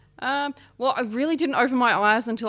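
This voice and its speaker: A woman with an Australian accent on a very clean recording with a silent background. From Australia, New South Wales east coast. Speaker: homelessness support worker. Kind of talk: interview, lived experience testimony.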